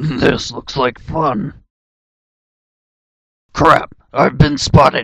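Using a put-on character voice, a raspy man speaks very slowly at a fairly high pitch with long, frequent pauses. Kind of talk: character audition read. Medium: audio drama.

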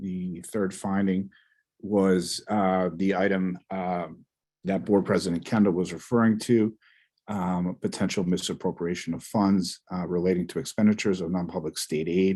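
A man speaks at a moderate pace in a very deep, low voice with a dark, mellow tone and monotone, flat intonation. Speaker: school business administrator. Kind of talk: board meeting report. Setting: video call. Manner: halting.

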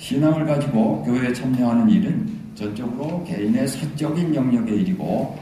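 A man speaks at a moderate pace with very wide pitch swings. There is audible room echo and light background noise. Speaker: professor presenting a statement. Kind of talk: formal prepared address. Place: hall.

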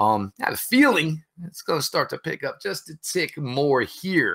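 A man keeps a moderate pace, and the background around him is quiet. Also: big swings in loudness. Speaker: podcast host. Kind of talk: podcast intro commentary. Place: home room.

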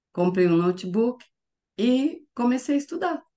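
A woman is speaking. The background is quiet. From interior of São Paulo state, Brazil. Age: 50s. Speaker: course student testimonial. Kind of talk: testimony. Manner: hesitant with repetitions. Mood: cheerful, smiling. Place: home room. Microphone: webcam.

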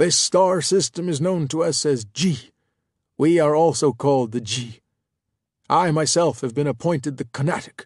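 This loud, raspy put-on character voice moves at a moderate pace. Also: man, fairly high pitch for a man. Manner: grandiose, hostile, paranoid.

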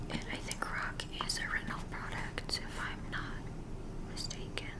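A woman speaks fairly slowly while loud background noise fills the clip. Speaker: ASMR creator. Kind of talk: ASMR product haul. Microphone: webcam.

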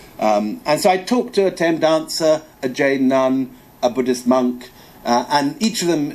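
Ordinary pitch variation from a male speaker. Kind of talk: lecture. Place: hall. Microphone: podium.

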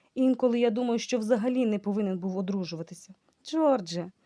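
Plain reading aloud with ordinary pitch variation against a quiet background.

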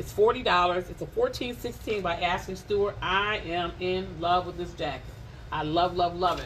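A woman's animated voice at a moderate pace, with light background noise. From Detroit area, Michigan. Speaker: live-stream clothing seller. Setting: Facebook live stream from a shop. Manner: playful and teasing, chatty. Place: shop.

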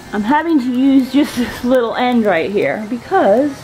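A woman speaks over faint music in the background. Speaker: home vlogger. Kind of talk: casual vlog chat. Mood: mildly annoyed, chatty. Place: garden. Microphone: phone near.

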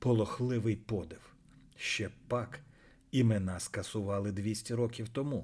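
Fairly even intonation in a natural reading voice

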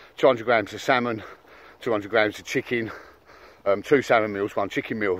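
The sound is dry with no echo. A man talks at a fairly quick pace. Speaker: fitness vlogger. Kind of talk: casual vlog chat. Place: open country. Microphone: phone near.

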